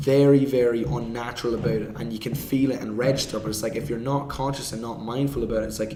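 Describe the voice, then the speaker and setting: Over noticeable background noise and audible room echo, a man speaks very fast in an Irish accent, his medium pitch held in fairly even intonation. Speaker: movement coach. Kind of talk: podcast discussion.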